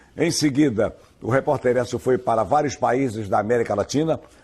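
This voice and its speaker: A man speaks at medium pitch with ordinary pitch variation. His tone is dark and mellow. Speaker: radio news announcer. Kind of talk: interview answer.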